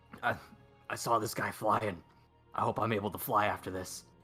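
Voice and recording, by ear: A man's raspy, put-on character voice, fairly low in pitch, at a moderate pace with fairly even intonation over faint music in the background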